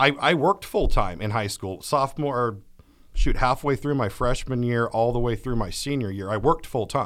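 Moderate pace in a Californian accent, with ordinary pitch variation on a very clean recording over a silent background. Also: man, medium pitch for a man. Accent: Californian American. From California, Atwater. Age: 30s. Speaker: recovering addict and fishing mentor. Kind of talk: interview testimony.

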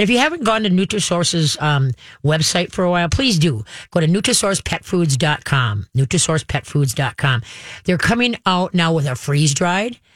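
With an American accent, a woman speaks at a moderate pace, somewhat breathy and fairly low in pitch, her loudness very even despite very wide pitch swings. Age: 60s. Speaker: radio host, dog trainer and pet expert. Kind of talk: call-in radio show, casual chat. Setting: radio studio. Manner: animated, chatty with frequent laughs.

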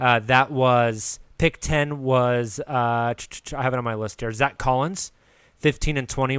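Here is a man with an unremarkable speaking voice and an American accent. He talks at a moderate pace and a medium pitch, with fairly even intonation. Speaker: podcast host. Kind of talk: casual sports chat.

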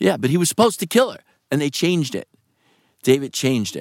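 With an American accent, a man speaks at a very fast pace in a fairly high pitch, his tone animated and intonation lively, on a very clean recording with a silent background and a dry, close sound with no echo. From New York. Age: 60s. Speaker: actor. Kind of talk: casual interview chat. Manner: animated, profane, storyteller.

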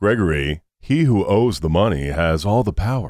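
Putting on a character voice, a man speaks at a moderate pace with a fairly low pitch on a very clean recording with a silent background.

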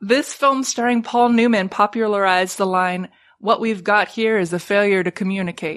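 At a moderate pace and with ordinary pitch variation, a woman talks in a normal speaking voice against a quiet background. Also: medium pitch for a woman. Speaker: trivia podcast co-host. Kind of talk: casual chat.

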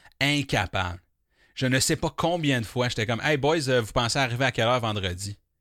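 With a Quebec accent, a man speaks in an animated tone at a fairly quick pace. His tone is bright and sharp. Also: medium pitch for a man, ordinary pitch variation, very clean recording, silent background. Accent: Québécois French. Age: 30s. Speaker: podcast host. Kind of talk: casual monologue.

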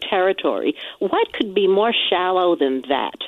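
With a normal speaking voice and fairly low pitch, a woman talks at a fairly slow pace using lively intonation. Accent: American. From New Jersey. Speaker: caller. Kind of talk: call-in complaint. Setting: phone call. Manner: formal.

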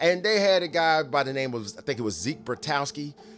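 A man talks with a Southern US accent. His pitch swings very widely. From Nashville, Tennessee. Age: 40s. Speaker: sports podcast host. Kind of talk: casual monologue.

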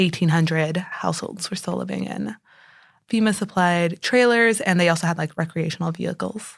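Speaking at a fairly quick pace, a woman with an American accent has a fairly low pitch and some vocal fry. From Texas, San Antonio. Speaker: newspaper reporter. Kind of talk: interview. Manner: casual, filler-heavy.

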